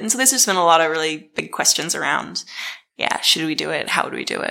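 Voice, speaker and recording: A woman talks at a very fast pace in an American accent. Her tone is bright and sharp, with vocal fry. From Dunedin, New Zealand (partly Boston). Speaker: startup CEO, crowdfunding. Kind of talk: casual interview.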